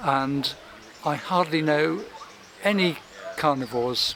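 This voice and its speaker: Here a man speaks with an English accent at a fairly high pitch. Background noise is noticeable. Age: 60s. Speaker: doctor. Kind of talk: testimonial interview.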